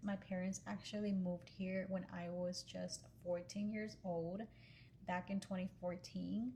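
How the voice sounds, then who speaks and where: Here is an ordinary speaking voice from a woman at medium pitch, with ordinary pitch variation. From Pennsylvania, US, then Texas from age 14. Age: 20s. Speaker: social media content creator. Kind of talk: casual vlog talk to camera.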